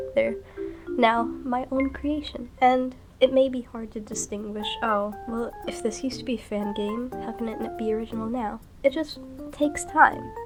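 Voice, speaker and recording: Music plays in the background as a woman speaks at a moderate pace, her loudness swinging widely. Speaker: digital artist. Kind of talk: casual commentary over a speedpaint. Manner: rambling, conversational.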